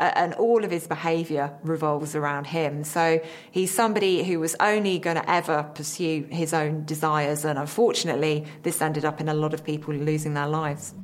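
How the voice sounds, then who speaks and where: A woman with a very deep, low pitch talks at a fairly quick pace with hardly any pauses. Her intonation stays fairly even, and background noise is noticeable. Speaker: forensic psychologist. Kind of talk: expert interview.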